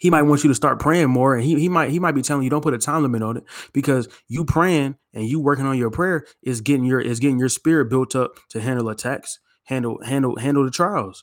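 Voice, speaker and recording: This voice speaks at a very fast pace with ordinary pitch variation. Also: man, medium pitch for a man. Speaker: podcast host, Hebrew Israelite believer. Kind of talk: fervent prayer, earnest and devotional, closing the episode. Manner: earnest, heartfelt, fervent.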